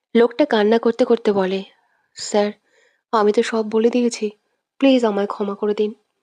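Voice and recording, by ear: Someone reads aloud in a natural voice with fairly even intonation against a quiet background.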